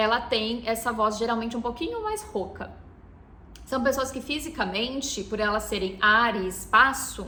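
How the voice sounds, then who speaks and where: A woman's fairly high voice at a fairly slow pace, ordinary pitch variation, and audible room echo. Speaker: ayurveda therapist and podcast host. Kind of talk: podcast lecture.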